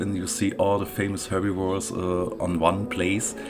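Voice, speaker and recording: There is audible room echo and noticeable background noise as a man speaks with fairly low pitch in a monotone, flat way. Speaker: gaming YouTuber. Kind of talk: casual game commentary. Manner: halting with many fillers.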